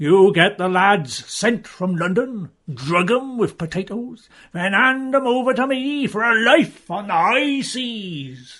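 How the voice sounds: Over a quiet background, a man does a gruff, put-on character voice at a fairly slow pace.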